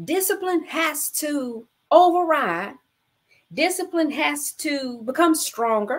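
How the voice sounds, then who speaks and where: A woman talks at a very slow pace in a high pitch with lively intonation. The background is quiet. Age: 40s. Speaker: bible study host. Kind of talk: live-streamed bible study. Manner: animated. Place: home room. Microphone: webcam.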